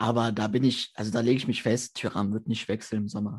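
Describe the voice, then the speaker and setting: This man has a normal speaking voice, talking at a fairly quick pace with fairly even intonation. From Germany, Mönchengladbach (Lower Rhine). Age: 20s. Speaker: football fan and match analyst. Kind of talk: casual chat.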